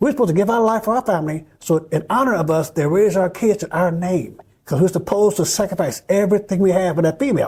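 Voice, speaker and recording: Here a man talks at a very fast pace in an animated tone. His pitch is high, with ordinary variation. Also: hardly any pauses. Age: 70s. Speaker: film executive producer and activist. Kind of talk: interview.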